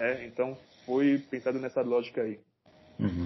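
This man speaks at a moderate pace. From Cameroon. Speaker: rapper. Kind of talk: casual chat.

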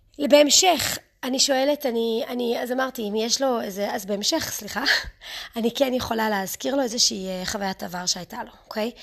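Over noticeable background noise, a woman with an English accent and a fairly high pitch talks at a moderate pace with ordinary pitch variation. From United States, moved to Israel at eight. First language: English (speaking Hebrew). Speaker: parenting coach. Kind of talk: podcast monologue. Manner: halting, self-correcting.

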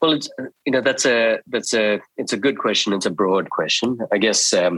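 A man with an Australian accent at a moderate pace, in a dry, close sound with no echo. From Sri Lanka. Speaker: dermatologist. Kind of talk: interview.

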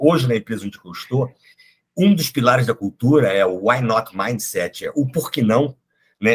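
A man's somewhat breathy voice with lively intonation and a fairly quick pace. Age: 50s. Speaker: psychologist and HR executive. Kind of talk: casual interview conversation.

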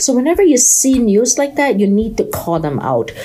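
Background noise is clearly noticeable. Over it, a woman speaks at a medium speed. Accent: Chinese. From China. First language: Chinese. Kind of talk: podcast monologue. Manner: halting.

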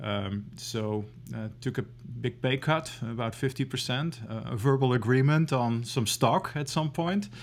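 Speaking fairly slowly with a Dutch accent, a man has a medium pitch and ordinary pitch variation. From Netherlands. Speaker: venture investor and startup founder. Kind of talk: interview. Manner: halting, many fillers; to the point.

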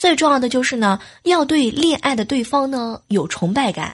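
High-pitched, a woman speaks with very wide pitch swings. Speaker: podcast host. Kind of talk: casual monologue. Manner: animated.

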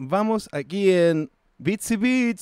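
In a dry, close recording with no echo, a man with a Chilean accent speaks at a high pitch with ordinary pitch variation. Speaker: podcast host. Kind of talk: casual chat. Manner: animated.

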